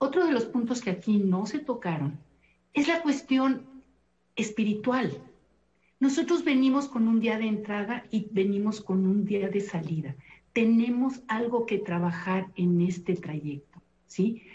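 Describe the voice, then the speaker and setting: Speaking at a fairly slow pace, a woman with a fairly high pitch and a dark, mellow, somewhat breathy tone uses lively intonation. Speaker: thanatologist and family counselor. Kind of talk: televised panel discussion. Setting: video call.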